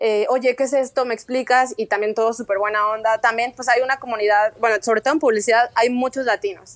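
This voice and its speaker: A woman with a fairly high pitch speaks at a fairly quick pace with hardly any pauses and fairly even intonation. Her loudness stays very even, and the sound is dry and close with no echo. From Mexico, Guadalajara. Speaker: art director, emigrant. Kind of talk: interview.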